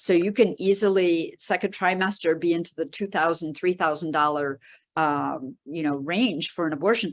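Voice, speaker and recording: Ordinary pitch variation at a moderate pace against a quiet background. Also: woman, fairly low pitch for a woman. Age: 60s. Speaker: reproductive rights activist. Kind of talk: panel discussion. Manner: halting, many fillers and repetitions.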